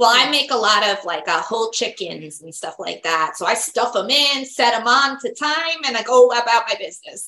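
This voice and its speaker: A woman with a normal speaking voice talks at a moderate pace with hardly any pauses. Her fairly high voice has lively intonation and big swings in loudness. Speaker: psychic medium and podcast host. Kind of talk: interview on a podcast, casual and friendly.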